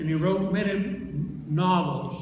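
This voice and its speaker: Over noticeable background noise, a man with an American accent speaks with fairly even intonation. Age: 80s+. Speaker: former US senator. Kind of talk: eulogy.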